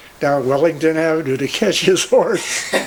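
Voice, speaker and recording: A man with a Midwestern American accent speaks at a moderate pace with ordinary pitch variation against noticeable background noise. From Cleveland, Ohio. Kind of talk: storytelling.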